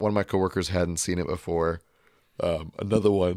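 Putting on a raspy character voice with a very deep, low pitch, a man speaks at a moderate pace with monotone, flat intonation in a very clean recording with a silent background.

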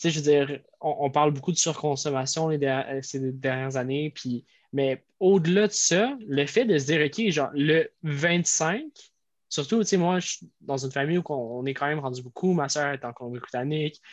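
A man speaks at a moderate pace with a Quebec accent, his voice fairly high-pitched and his pitch varying in an ordinary way. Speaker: podcast co-host. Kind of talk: casual chat.

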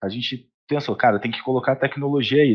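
Here is an ordinary speaking voice. A man at a medium pitch talks at a fairly quick pace. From Rio de Janeiro state, Brazil. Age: 20s. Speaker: accounting firm CEO. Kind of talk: casual interview.

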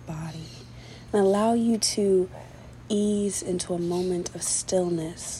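In a soothing, calm tone, the speaker moves at a very slow pace amid noticeable background noise. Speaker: podcast host. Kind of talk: guided meditation. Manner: slow, soothing, calm and gentle with long pauses; repetitive, directive and reassuring.

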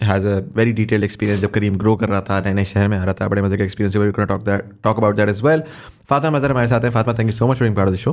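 A man talks at a very fast pace, his pitch fairly low and his intonation fairly even. His loudness stays very even, and the very clean recording has a silent background. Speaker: podcast host. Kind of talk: conversational, mixing Urdu and English. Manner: fast talker.

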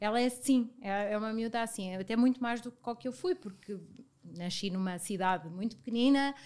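Speaking at a fairly quick pace, a woman with a fairly high pitch uses ordinary pitch variation in a normal speaking voice. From Portugal, Viseu. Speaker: business partner. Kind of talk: casual chat.

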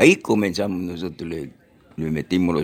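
Very deep, low pitch from a man, with vocal fry and lively intonation. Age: 80s+. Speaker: retired footballer. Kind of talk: interview. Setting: at his home.

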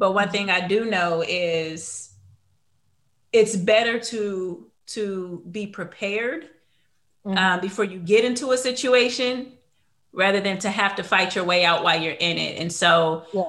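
A woman speaks fairly slowly in an unremarkable speaking voice, her pitch medium and its variation ordinary. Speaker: podcast host. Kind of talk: casual interview.

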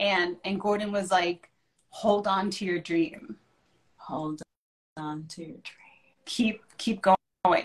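Speaking at a very slow pace, a woman sounds somewhat breathy, with ordinary pitch variation and big swings in loudness. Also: medium pitch for a woman. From Puerto Rico. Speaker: chef and TV personality. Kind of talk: casual chat. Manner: animated.

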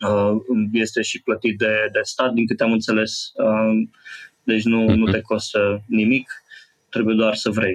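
At a fairly slow pace, a man speaks in a flat monotone at a medium pitch, keeping his loudness very even. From Romania, Brașov. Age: 30s. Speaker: call center advisor. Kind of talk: interview. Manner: hesitant, many fillers.

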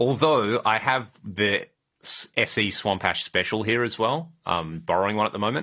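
Speaking at a fairly slow pace in a very clean recording with a silent background, a man with an Australian accent uses lively intonation, a fairly low pitch and a bright, sharp tone. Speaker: podcast host, guitar gear enthusiast. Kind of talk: casual chat.

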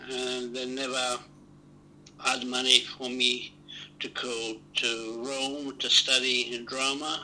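Against noticeable background noise, a man with a medium pitch speaks very slowly in a monotone, flat intonation. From Italy. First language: Italian. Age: 70s. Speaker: actor. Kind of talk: interview.

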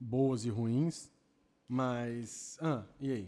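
A man's medium-pitched voice, dark and mellow in tone, with fairly even intonation, on a very clean recording with a silent background. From Campinas, São Paulo state, Brazil. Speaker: podcast panelist. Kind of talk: casual chat.

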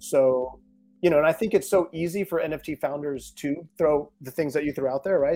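In a very clean, dry, close recording with a silent background and no echo, a man with an unremarkable speaking voice talks at a fairly quick pace. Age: 30s. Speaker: NFT project founder. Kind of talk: casual chat.

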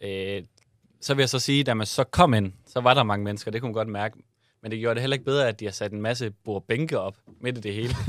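Very fast speech comes from a man at a medium pitch, with ordinary pitch variation. The recording is very clean, with a silent background. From Southern Jutland, Denmark. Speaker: podcast co-host. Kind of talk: casual chat.

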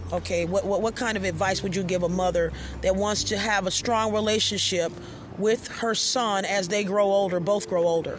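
Monotone and flat, a woman speaks at a moderate pace with very even loudness and audible room echo. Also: medium pitch for a woman. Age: 50s. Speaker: spiritual podcast host and astrology reader. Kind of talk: casual interview and spiritual teaching.

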